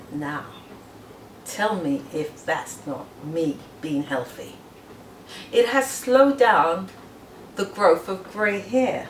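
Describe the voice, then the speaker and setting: Speaking at a very slow pace with long, frequent pauses, this voice swings very widely in pitch over noticeable background noise. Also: woman, medium pitch for a woman. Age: 60s. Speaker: massage therapist. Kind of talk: personal testimony.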